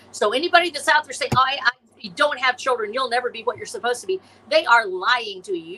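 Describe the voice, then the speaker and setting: A raised, projected voice delivers a passionate tone at a fairly quick pace, with very wide pitch swings. Noticeable background noise is present. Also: woman. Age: 60s. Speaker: science fiction author and illustrator. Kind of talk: podcast interview.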